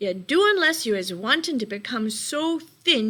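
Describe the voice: The voice is plain reading aloud with lively intonation.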